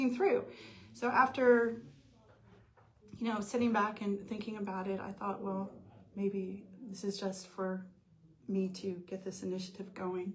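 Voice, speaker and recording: With audible room echo around her, a woman speaks at a medium pitch and a fairly slow pace. She uses ordinary pitch variation and long, frequent pauses. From US, military family moving around. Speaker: nonprofit founder. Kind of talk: interview.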